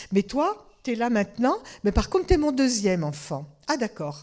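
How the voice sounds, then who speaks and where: Fairly high in pitch, a woman speaks at a moderate pace. Her voice swings very widely in pitch. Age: 70s. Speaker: family constellations therapist and lecturer. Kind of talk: interactive lecture with audience questions. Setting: conference with live audience. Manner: conversational.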